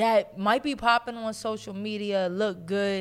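A woman talks at a medium pitch. The recording is very clean, with a silent background. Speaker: podcast co-host. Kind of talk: casual banter, comedic chat. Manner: animated, fast, interrupting.

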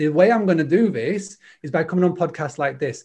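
Ordinary pitch movement in a Yorkshire accent. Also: man. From Yorkshire, northern England. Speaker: hospitality trainer and consultant. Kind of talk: interview. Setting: online video call. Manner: fast talker.

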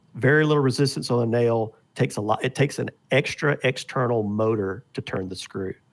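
Recorded very cleanly against a silent background, a man with a medium pitch speaks at a moderate pace with ordinary pitch variation in a plain, everyday voice. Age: 50s. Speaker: arrow and broadhead maker. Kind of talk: casual chat.

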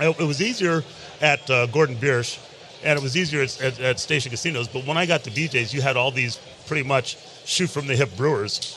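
A man talks in a fairly high pitch with ordinary pitch variation. Noticeable background noise sits behind him. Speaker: master brewer. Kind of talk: casual chat. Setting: live at a convention.

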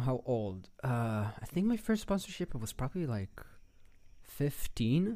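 At a fairly slow pace, a man speaks in a medium pitch with very wide pitch swings. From Israel, Tel Aviv. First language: Hebrew. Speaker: animator and storyboard artist. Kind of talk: casual chat.

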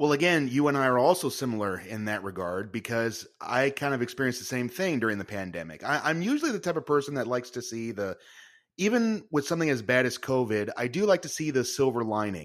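Over a silent background on a very clean recording, a man speaks at a very fast pace. His pitch is medium and his intonation lively. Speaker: podcast host, improv performer and magician. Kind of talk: casual interview conversation.

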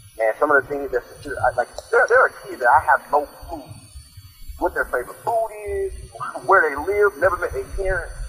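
Noticeable background noise runs under a man talking at a fairly quick pace, broken by long, frequent pauses. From South Florida. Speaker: high school football coach and recruiter. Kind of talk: interview. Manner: halting.

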